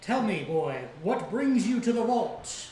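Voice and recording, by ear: Putting on a character voice with an extremely high pitch for a man, he speaks at a fairly slow pace with slight echo.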